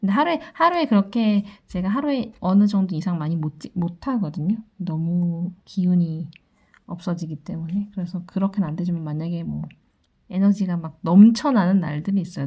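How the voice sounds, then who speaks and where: A woman speaks at a moderate pace in a fairly low, somewhat breathy voice. Her tone is dark and mellow, with ordinary pitch variation. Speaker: tarot reader. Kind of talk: daily fortune reading.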